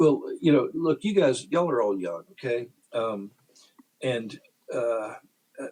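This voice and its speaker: A man speaks at a fairly slow pace in a medium pitch with an American accent, his dark, mellow tone moving through very wide pitch swings and broken by long, frequent pauses. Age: 60s. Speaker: Freemason lodge member, podcast guest. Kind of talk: casual chat. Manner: halting, many fillers and repetitions.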